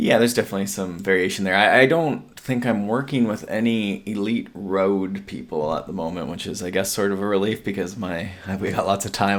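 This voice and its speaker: Talking at a fairly quick pace and fairly low pitch, a man is heard over noticeable background noise. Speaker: endurance coach and podcast co-host. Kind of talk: casual chat. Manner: monotone.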